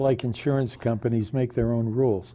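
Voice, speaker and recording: At a moderate pace, a man speaks in a medium pitch with a dark, mellow tone and flat, monotone intonation. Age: 80s+. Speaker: retired chemist and author. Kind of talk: interview. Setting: television studio. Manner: halting, many restarts and fillers.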